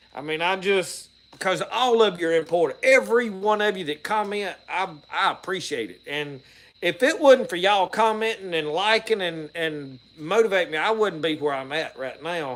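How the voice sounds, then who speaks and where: With a strong Southern US accent, a man speaks at a moderate pace in a high pitch, his intonation lively and his loudness swinging widely. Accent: thick Southern country. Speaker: outdoors and homestead YouTuber, preacher. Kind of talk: casual live-stream talk to viewers. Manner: rambling, halting with repeated starts.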